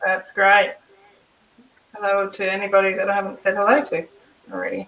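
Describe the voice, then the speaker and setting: A woman with an Australian accent, fairly even intonation and a fairly quick pace. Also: medium pitch for a woman. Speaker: artist. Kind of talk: casual chat. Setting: live stream.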